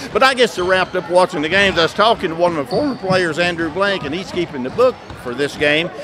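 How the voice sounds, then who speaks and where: Against noticeable background noise, a man with an Appalachian accent talks at a fairly quick pace in a high voice with lively intonation. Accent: Appalachian Kentucky. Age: 60s. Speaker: retired basketball coach and school superintendent. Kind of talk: casual interview. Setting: gym during halftime of a broadcast game.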